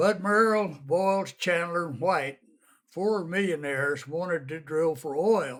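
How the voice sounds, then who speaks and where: A man with an American accent speaks at a high pitch with lively intonation and a fairly slow pace, on a very clean recording with a silent background. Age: 80s+. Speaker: elderly interviewee telling family history. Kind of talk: oral history interview. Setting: at home. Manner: folksy storytelling.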